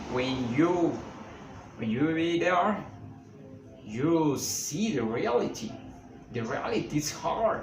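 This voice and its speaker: A man with a Mexican accent and a fairly high voice speaks very slowly with lively intonation and long, frequent pauses, amid noticeable background noise and audible room echo. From Mexico. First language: Spanish. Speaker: author. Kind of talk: interview. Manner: halting.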